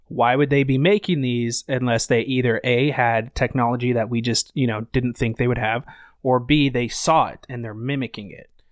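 Speaking with an American accent, a man with an ordinary speaking voice talks at a moderate pace and medium pitch, with fairly even intonation, big swings in loudness, and a dry, close sound with no echo. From Idaho, US. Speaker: podcast guest. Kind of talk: casual chat.

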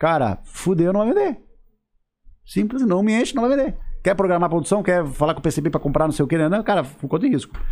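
Lively intonation marks this man's speech at a fairly quick pace. His pitch is high. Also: very even loudness. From southern Brazil, Santa Catarina. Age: 30s. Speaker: sales and fashion business consultant. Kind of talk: casual interview chat.

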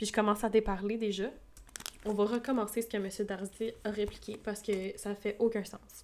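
Speaking with a Quebec accent at a moderate pace, a woman keeps her fairly high voice in monotone, flat intonation. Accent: Québécois French. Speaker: audiobook podcaster. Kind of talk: reading aloud. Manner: casual asides between reading.

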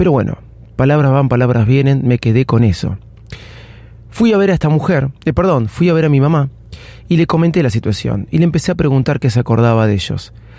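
A man talks fairly quickly in a Rioplatense accent, his pitch medium and his intonation lively. His loudness stays very even throughout. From Argentina. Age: 40s. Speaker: podcast host. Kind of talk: personal storytelling monologue. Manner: casual, with frequent fillers and self-corrections.

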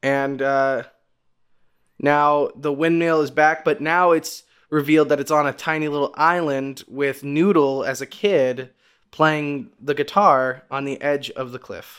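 A man with an unremarkable speaking voice talks at a fairly slow pace in a fairly high pitch, with fairly even intonation, on a very clean recording with a silent background. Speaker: podcast host. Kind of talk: casual chat. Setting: home recording setup. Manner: joking, stumbling over words.

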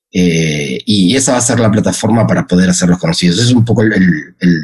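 Very wide pitch swings mark a man's speech at a fairly quick pace. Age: 40s. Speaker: music streaming company executive. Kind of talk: interview. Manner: halting, many repetitions and fillers.

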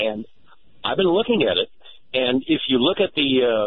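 Lively intonation from a man with an American accent. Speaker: caller, longtime listener. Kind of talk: radio call-in. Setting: phone call.

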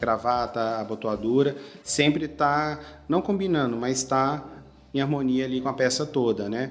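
A man's medium-pitched voice with ordinary pitch variation, music in the background. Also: fairly slow pace. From Brazil, Goiás (Goiânia). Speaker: menswear store manager. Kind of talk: interview.

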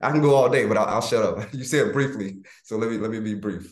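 A man with an American accent talks at a fairly quick pace. Audible room echo is present. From US South, Florida and Georgia. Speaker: military veteran and leadership coach. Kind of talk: interview conversation.

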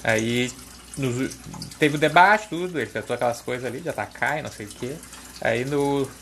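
The man's voice is medium in pitch, and its pitch varies in an ordinary way. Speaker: podcaster. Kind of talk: casual monologue. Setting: at the kitchen sink washing dishes.

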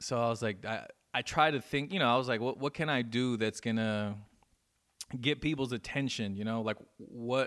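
Speaking fairly quickly in a normal speaking voice, a man with an American accent talks at medium pitch with fairly even intonation, the recording very clean with a silent background. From Inland Empire, Southern California. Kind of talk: casual interview chat.

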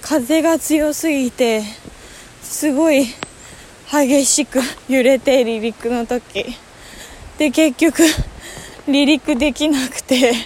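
Over noticeable background noise, a woman speaks very slowly in a high pitch. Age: 20s. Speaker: podcaster. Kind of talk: casual solo monologue while walking. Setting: outdoors, walking to a waterfall. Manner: halting, thinking aloud.

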